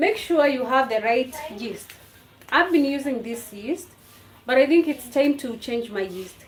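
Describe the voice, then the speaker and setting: A woman's high-pitched voice with ordinary pitch variation against noticeable background noise. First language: a Kenyan language. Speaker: home cooking vlogger. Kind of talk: cooking tutorial livestream. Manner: casual, halting with fillers.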